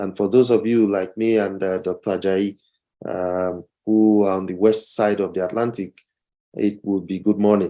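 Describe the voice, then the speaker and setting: A man with a fairly low pitch and a dark, mellow tone speaks at a moderate pace with fairly even intonation. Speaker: professor. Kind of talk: lecture. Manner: halting.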